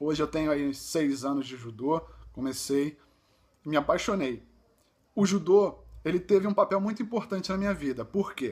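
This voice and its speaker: At a moderate pace, a man with a fairly high pitch uses lively intonation and leaves long, frequent pauses. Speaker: visually impaired judo athlete, vlogger. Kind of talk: personal vlog testimony. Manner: halting, with fillers and self-corrections.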